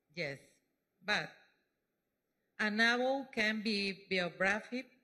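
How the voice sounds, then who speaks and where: A woman's very slow speech in a Mexican accent, bright and sharp in tone. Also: long, frequent pauses. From Mexico. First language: Spanish (speaking French). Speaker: speaker giving testimony. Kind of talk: testimony. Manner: halting.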